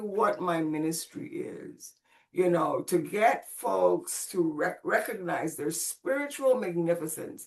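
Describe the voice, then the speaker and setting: At a very slow pace, a woman speaks with very wide pitch swings. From Puerto Rico. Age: 70s. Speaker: spiritual practitioner and minister. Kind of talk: interview conversation. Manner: halting, with many restarts.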